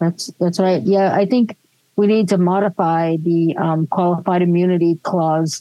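At a fairly slow pace, a woman speaks in a plain, everyday voice, fairly low in pitch, with fairly even intonation and very even loudness. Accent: American. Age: 60s. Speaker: podcast co-host. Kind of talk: casual chat.

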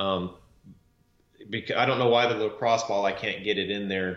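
Audible room echo surrounds the voice. A man speaks with fairly even intonation. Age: 40s. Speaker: podcast co-host, former construction business owner. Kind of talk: casual chat.

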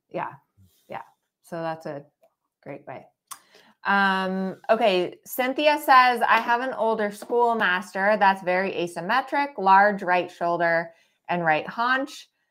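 A woman at medium pitch, very slow and full of long, frequent pauses, with lively intonation and big swings in loudness, in a very clean recording with a silent background. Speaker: dressage trainer and podcast host. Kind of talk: live Q&A chat. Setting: Facebook live stream.

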